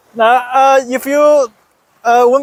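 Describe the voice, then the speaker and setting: The voice, in a Chinese accent, sounds dry and close with no echo. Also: man. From China. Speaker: software developer, English learner. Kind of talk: interview. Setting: Thailand, in person. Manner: halting, many hesitations and repetitions.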